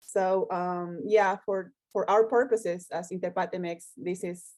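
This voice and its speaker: A woman speaks with a Spanish accent at a fairly slow pace. Her pitch is fairly low, and her intonation stays fairly even. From Mexico. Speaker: co-founder of interpretation association. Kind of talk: casual interview chat. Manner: halting, many fillers.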